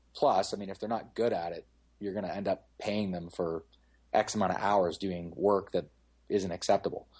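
With a Canadian accent, a man speaks at a moderate pace against a quiet background. He has an ordinary speaking voice, a fairly low pitch and fairly even intonation. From London, Ontario, Canada. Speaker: car detailing shop owner. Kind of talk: casual interview.

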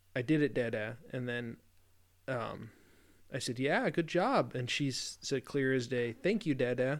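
In a very clean recording with a silent background, a man has an unremarkable speaking voice of medium pitch, with ordinary pitch variation and a fairly slow pace. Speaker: podcast co-host. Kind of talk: casual chat.

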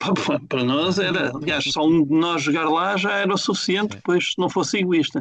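At a fairly quick pace, a man talks in a high-pitched voice with very even loudness. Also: ordinary pitch variation. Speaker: football fan podcaster. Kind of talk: casual chat.

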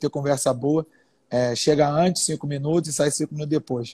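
On a very clean recording with a silent background, a man with a fairly high pitch and a dark, mellow tone sounds somewhat breathy, dry and close with no echo. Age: 30s. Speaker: entrepreneur and business lecturer. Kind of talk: casual live-stream conversation.

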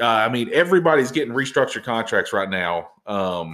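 This is an unremarkable speaking voice at a fairly quick pace. The recording is very clean with a silent background. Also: man. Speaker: podcast host. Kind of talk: casual chat. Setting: recording at home.

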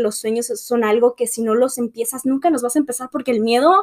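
In a dry, close recording with no echo, a woman with a high-pitched voice speaks at a moderate pace and varies her pitch in an ordinary way. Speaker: podcast host. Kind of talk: casual monologue. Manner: halting.

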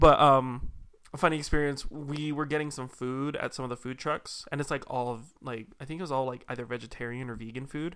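With a normal speaking voice, a man talks at a fairly high pitch and fairly quick pace, his loudness swinging widely on a very clean recording with a silent background. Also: fairly even intonation. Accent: American. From Utah. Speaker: podcast co-host. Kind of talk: casual chat.

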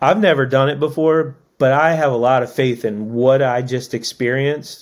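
With an American accent, a man talks at a fairly slow pace and medium pitch in an unremarkable speaking voice. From Maryland, US (Annapolis). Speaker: tattoo artist and former tour crew member. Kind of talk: casual interview.

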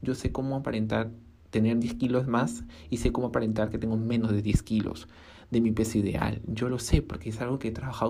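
A dark, mellow tone with vocal fry moves at a fairly quick pace, with ordinary pitch variation and audible room echo. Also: woman. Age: 20s. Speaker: podcaster and small fashion brand owner. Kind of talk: casual solo monologue.

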